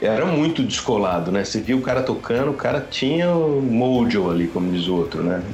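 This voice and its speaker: Delivered at a fairly quick pace with hardly any pauses, the speech has very wide pitch swings and very even loudness, with audible room echo and noticeable background noise. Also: man, medium pitch for a man. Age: 40s. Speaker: guitarist. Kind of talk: casual chat.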